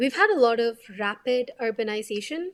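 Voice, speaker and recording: In a Kannada accent, a woman talks at a very slow pace with ordinary pitch variation on a very clean recording with a silent background. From India, Bengaluru. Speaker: doctor and climate advocate. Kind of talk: interview.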